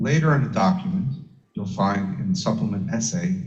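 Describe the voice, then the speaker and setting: At a moderate pace, a voice with vocal fry makes very wide pitch swings, heard with audible room echo. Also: man. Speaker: electrical safety standards engineer. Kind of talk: technical lecture. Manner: soft-spoken. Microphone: too quiet, far from microphone.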